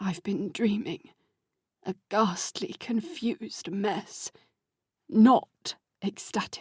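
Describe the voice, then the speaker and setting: Putting on a croaky character voice, a woman talks at a very slow pace at a medium pitch, with very wide pitch swings and long, frequent pauses, in a dry, close sound with no echo. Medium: read story. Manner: formal, old-fashioned politeness.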